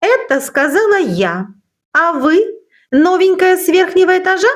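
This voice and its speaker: An extremely high-pitched, put-on character voice from a woman at a moderate pace. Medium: read story. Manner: curt, mocking.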